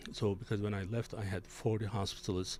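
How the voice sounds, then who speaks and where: A man speaks at a moderate pace in a fairly low pitch, his tone dark and mellow. His voice is somewhat breathy, with a non-native accent. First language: not English. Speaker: physician and healthcare executive, show host. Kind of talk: interview discussion. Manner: halting, many fillers.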